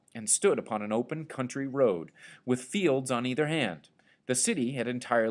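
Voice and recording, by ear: Someone reads the text aloud in a natural voice.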